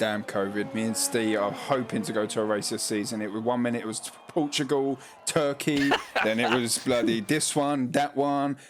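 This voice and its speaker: In a Cockney accent, a man speaks at a moderate pace and medium pitch with ordinary pitch variation, over noticeable background noise. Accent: cockney London English. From London (cockney). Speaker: sim racing league commentator. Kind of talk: live commentary. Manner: casual, lazy pronunciation; animated.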